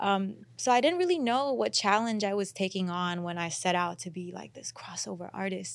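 In an unremarkable speaking voice, a woman talks at a moderate pace with hardly any pauses and lively intonation. Her loudness swings a great deal, and the recording is very clean with a silent background. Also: medium pitch for a woman. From Houston, Texas (born in India). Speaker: R&B singer. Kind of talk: casual interview. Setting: studio.

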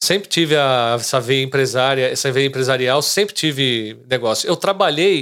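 The recording is very clean with a silent background. A man with a plain, everyday voice talks at a moderate pace with ordinary pitch variation. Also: medium pitch for a man, hardly any pauses, very even loudness. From Brazil, São Caetano, greater São Paulo. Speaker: real estate agent. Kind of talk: casual interview chat.

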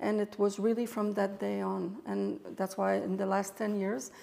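A woman with a Quebec French accent speaks at a moderate pace, her medium pitch showing ordinary variation. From Quebec, Montreal. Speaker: photographer and artist. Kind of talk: interview.

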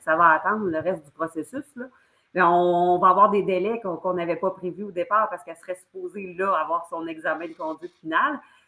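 A woman speaks in a fairly low register with a bright, sharp tone and a Quebec accent. Her loudness swings widely. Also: ordinary pitch variation. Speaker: former political candidate, economic development worker. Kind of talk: political discussion.

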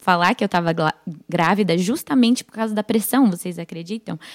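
In a plain, everyday voice, a woman at medium pitch speaks at a fairly quick pace, the sound dry and close with no echo on a very clean recording against a silent background. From United States (Brazilian family). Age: 20s. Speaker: church member, young mother. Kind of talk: casual chat.

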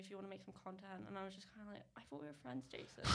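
A woman speaks at a very fast pace with ordinary pitch variation against noticeable background noise. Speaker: social media creator. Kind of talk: casual chat.

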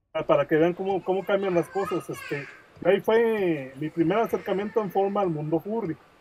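A man's high voice at a fairly quick clip, ordinary pitch variation, noticeable background noise. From Mexico, Guadalajara, Jalisco. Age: 40s. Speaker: comic creator and graphic designer. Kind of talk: podcast interview.

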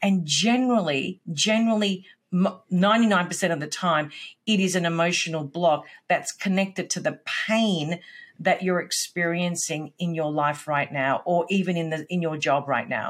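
A woman with an Australian accent speaks at a fairly low pitch and a fairly slow pace. The recording is very clean, with a silent background. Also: ordinary pitch variation. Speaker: business coach, former sales executive. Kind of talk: casual interview chat.

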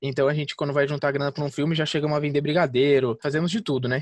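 Rattling along at a very fast pace, a man speaks with a fairly high pitch. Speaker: independent film director. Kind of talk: casual interview.

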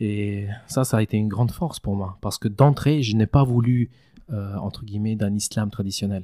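On a very clean recording with a silent background, the speaker has a normal speaking voice with ordinary pitch variation. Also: man, fairly low pitch for a man, moderate pace. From Switzerland, Valais; Kosovar family. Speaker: mosque founder and president. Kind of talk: casual interview.

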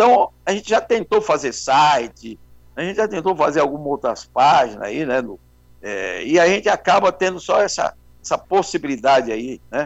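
Over music in the background, the speaker moves at a moderate pace with very wide pitch swings. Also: man, fairly high pitch for a man. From São Paulo, Brazil. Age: 70s. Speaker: carnival bandleader and journalist. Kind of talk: interview.

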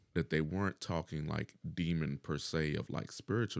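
In a dry, close sound with no echo, a man speaks at a very deep, low pitch with vocal fry. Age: 40s. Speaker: dialysis patient and shift worker. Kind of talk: casual chat.

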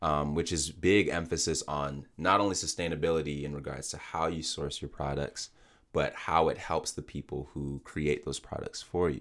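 A man speaks at a very deep, low pitch with vocal fry and fairly even intonation. The pace is moderate and the recording very clean, with a silent background. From Nigerian background. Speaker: podcast host. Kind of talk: casual interview.

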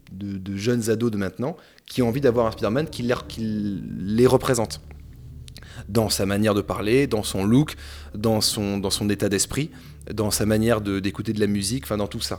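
A man's fairly low-pitched voice at a moderate pace, with ordinary pitch variation. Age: 30s. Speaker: film critic. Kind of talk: casual chat.

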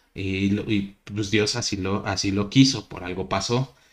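A man with an unremarkable speaking voice, ordinary pitch variation and a fairly slow pace. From Mexico. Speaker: podcast host. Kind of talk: casual chat.

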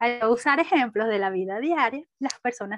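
Lively intonation marks this voice in a Caracas accent, heard in a dry, close sound with no echo over music in the background. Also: woman. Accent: Venezuelan Spanish (Caracas). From Venezuela (Caracas). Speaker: business administrator. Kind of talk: interview.

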